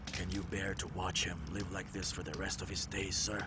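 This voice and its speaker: Over loud background noise, a man puts on a character voice pitched very deep and low, keeping a moderate pace and very even loudness. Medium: fan dub. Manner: humble, deferential.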